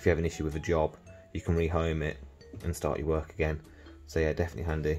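Over faint background music, a man with a very deep, low pitch talks at a very fast pace in a monotone, flat intonation. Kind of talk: tutorial. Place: workshop. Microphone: phone near.

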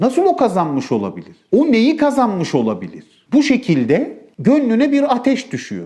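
A man's moderate-paced speech with hardly any pauses. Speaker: preacher. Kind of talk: sermon.

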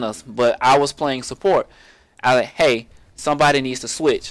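This is a man with an unremarkable speaking voice. The recording is very clean, with a silent background. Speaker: gaming YouTuber. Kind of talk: tutorial. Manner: casual, rambling with filler words.

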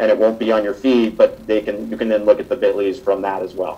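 A man with a plain, everyday voice talks at medium pitch with fairly even intonation. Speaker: social media campaigner. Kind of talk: panel presentation. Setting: live event with audience.

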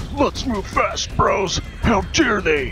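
A man in a put-on character voice over loud music in the background. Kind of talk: slangy, casual. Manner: exaggerated, excitable.

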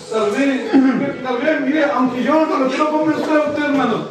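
Strong room echo and noticeable background noise surround a man as he speaks. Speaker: preacher. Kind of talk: sermon. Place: church. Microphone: pa.

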